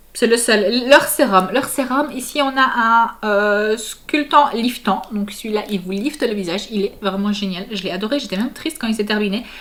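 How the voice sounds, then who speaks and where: A woman's fairly high voice at a moderate pace, with ordinary pitch variation, hardly any pauses, and noticeable background noise. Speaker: family vlogger. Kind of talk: casual vlog product review. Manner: hesitant, many fillers.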